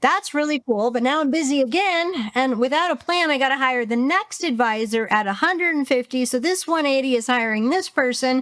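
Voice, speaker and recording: Intonation is lively, and the pace is fairly quick with hardly any pauses. Loudness stays very even. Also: woman, high pitch for a woman. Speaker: business coach. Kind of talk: interview. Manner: fast; animated.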